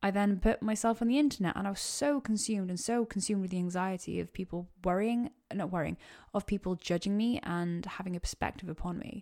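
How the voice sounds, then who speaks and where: A woman with a Welsh accent speaks fairly quickly at medium pitch with ordinary pitch variation, in a very clean recording with a silent background. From Wales. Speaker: podcast host. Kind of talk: solo Q&A monologue. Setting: home podcast mic. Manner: casual, rambling.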